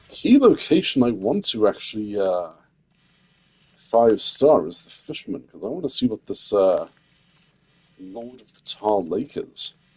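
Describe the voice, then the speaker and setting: A quiet man speaks at a fairly slow pace with long, frequent pauses. His loudness swings a lot. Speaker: gaming streamer. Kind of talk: live gameplay stream chat. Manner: quiet, hesitant with many fillers.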